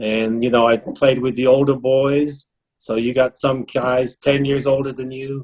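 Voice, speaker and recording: At a fairly slow pace, a man speaks with medium pitch and monotone, flat intonation. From England, Middlesex. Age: 70s. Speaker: former soccer player. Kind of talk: interview.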